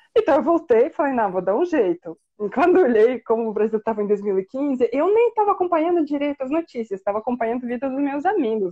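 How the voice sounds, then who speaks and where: A woman with a Russian accent talks at a very fast pace in a high pitch, with very wide pitch swings. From Siberia, Russia. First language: Russian (speaking Portuguese). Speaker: Russian teacher and researcher. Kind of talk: interview, personal story. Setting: livestream. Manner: conversational, many fillers.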